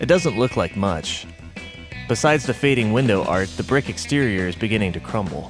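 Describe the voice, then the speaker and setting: Over music in the background, a man talks at a fairly quick pace in a fairly low pitch with very wide pitch swings. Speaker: podcast host. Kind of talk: scripted podcast intro narration.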